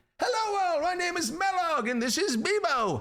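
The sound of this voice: At a moderate pace, a man puts on a character voice with extremely high pitch.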